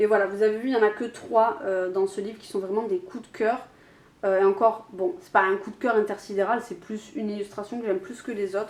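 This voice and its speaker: Her loudness swinging widely, a woman speaks fairly quickly at a fairly high pitch with fairly even intonation. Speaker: YouTuber. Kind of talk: casual vlog talk. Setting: home, alone, camera on tripod. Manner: hesitant, many fillers.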